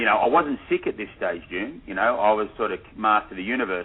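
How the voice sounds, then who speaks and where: A man with an Australian accent and a fairly low pitch talks very fast. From Australia, Sydney. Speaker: documentary filmmaker. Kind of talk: radio interview. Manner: hesitant, many repetitions.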